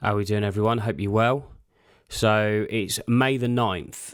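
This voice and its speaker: Fairly low-pitched man at a moderate pace, fairly even intonation, very clean recording with a silent background. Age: 30s. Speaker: podcast host and apparel designer. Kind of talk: casual solo monologue. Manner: monotone.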